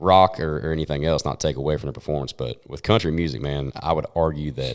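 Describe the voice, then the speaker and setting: With a Southern US accent, a man talks fairly quickly in a very deep, low voice with ordinary pitch variation. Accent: Southern twang. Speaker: country singer. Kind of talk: casual chat.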